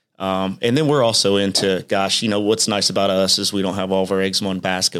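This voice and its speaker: In a Midwestern American accent, a man talks with a very deep, low pitch. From Indiana, Richmond. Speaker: business owner. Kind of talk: casual interview.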